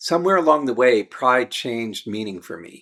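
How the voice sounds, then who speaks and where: On a very clean recording with a silent background, a man uses an ordinary speaking voice at a medium pitch, talking at a moderate pace with lively intonation. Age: 60s. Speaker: midlife men's coach. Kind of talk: personal reflection to camera.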